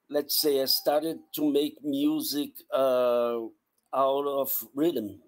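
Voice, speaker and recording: Speaking very slowly in a Portuguese accent, a man with a fairly high pitch keeps his intonation fairly even and his loudness very even. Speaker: sound artist. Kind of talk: artist presentation. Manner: halting, many repetitions. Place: home room.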